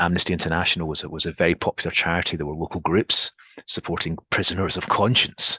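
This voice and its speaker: A man with a Scottish accent talks at a very fast pace with a very deep, low pitch and fairly even intonation. His tone is bright and sharp, with a dry, close sound and no echo. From Scotland. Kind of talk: podcast interview. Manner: halting, many repetitions.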